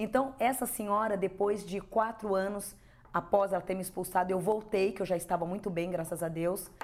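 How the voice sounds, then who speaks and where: A woman talks in an unremarkable speaking voice, medium in pitch, with fairly even intonation and a moderate pace. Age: 50s. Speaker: spiritual medium. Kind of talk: interview testimony.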